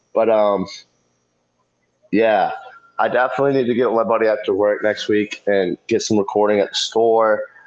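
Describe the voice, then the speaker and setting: A man at medium pitch and moderate pace, fairly even in intonation, very even in loudness, with long, frequent pauses. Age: 30s. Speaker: fish keeping youtuber. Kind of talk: live stream chat. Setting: live stream on phone.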